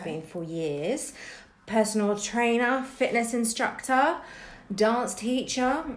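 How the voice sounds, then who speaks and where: In a southern English accent, a woman speaks with lively intonation amid audible room echo. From southern England, Bournemouth area. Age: 40s. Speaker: dance teacher and podcast co-host. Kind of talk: casual interview.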